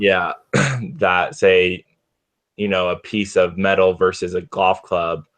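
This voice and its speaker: A man with a very deep, low pitch speaks very slowly in fairly even intonation, leaving long, frequent pauses. Music plays in the background. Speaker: game designer. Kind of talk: casual brainstorming chat.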